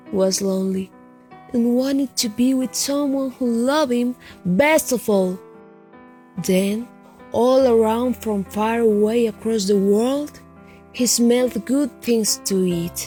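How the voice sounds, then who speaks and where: Music plays in the background as a woman speaks very slowly, with long, frequent pauses. Her pitch is fairly high, with ordinary variation. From Colombia. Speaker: storyteller. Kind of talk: children's story reading.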